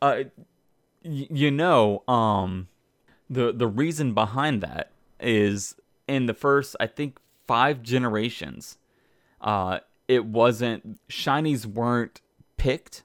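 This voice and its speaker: A man at a medium pitch, very slow pace with long, frequent pauses, in a dry, close sound with no echo. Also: ordinary pitch variation. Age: 30s. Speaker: gaming podcast co-host and streamer. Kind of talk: casual chat. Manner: halting, many fillers.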